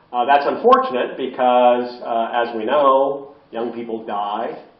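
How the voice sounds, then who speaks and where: Over noticeable background noise and audible room echo, a man speaks at a very slow pace with monotone, flat intonation. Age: 70s. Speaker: philosophy professor and end-of-life advocate. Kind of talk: public lecture. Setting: library talk with audience and microphone. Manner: many filler words, halting.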